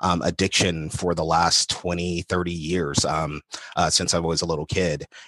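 In an American accent, a man speaks at a fairly slow pace with a very deep, low pitch and fairly even intonation, the sound dry and close with no echo. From Los Angeles, US. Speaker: communication studies professor. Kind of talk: interview.

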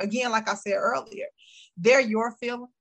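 A woman talks at a fairly quick pace in a fairly high pitch, her voice somewhat breathy. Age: 50s. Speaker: motivational speaker and life coach. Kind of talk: casual interview.

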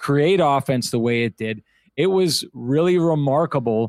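The sound is dry and close with no echo, and the recording is very clean, with a silent background. A man with an ordinary speaking voice talks fairly slowly at a medium pitch, his intonation lively. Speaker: sports broadcaster. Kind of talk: casual chat.

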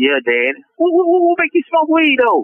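At a moderate pace, the man delivers his words. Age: 40s. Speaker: prison inmate. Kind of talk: personal testimony. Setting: phone call from prison. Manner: laid-back.

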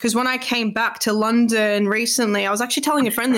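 An Australian accent marks this woman's speech. Her pitch is fairly high and her intonation fairly even. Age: 20s. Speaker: podcast host. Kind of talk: casual interview chat.

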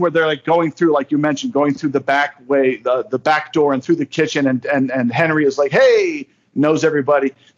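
Here a man with an American accent speaks in a fairly high pitch with ordinary pitch variation. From northern New Jersey. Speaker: podcast guest. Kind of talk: casual chat. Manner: animated.

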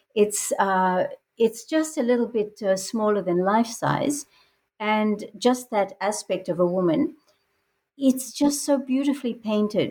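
Somewhat breathy, fairly slow speech with ordinary pitch variation. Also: woman. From Australia. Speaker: artist and novelist. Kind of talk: interview.

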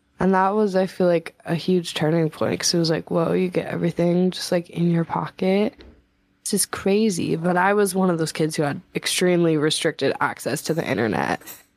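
A woman with a fairly low pitch and a normal speaking voice talks fairly quickly with ordinary pitch variation in a very clean recording with a silent background. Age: 20s. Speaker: singer-songwriter. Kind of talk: casual chat.

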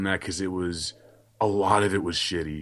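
A man talks at a moderate pace, his pitch fairly low and his intonation fairly even. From Brooklyn, New York. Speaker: illustrator and podcaster. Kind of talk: casual interview chat.

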